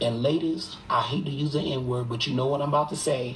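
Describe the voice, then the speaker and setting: A man speaks in an animated tone at a fairly high pitch. Noticeable background noise runs underneath. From Boston. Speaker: live streamer. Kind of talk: casual chat.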